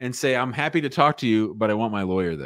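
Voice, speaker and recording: In an American accent, a man speaks with ordinary pitch variation against a quiet background. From United States. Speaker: immigration lawyer. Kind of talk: live call-in Q&A show. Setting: office, live stream. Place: home room. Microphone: studio mic.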